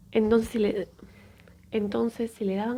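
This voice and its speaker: Dark, mellow tone from a somewhat breathy woman at medium pitch and a fairly quick pace. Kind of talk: sleep story, storytelling narration of a true medical event.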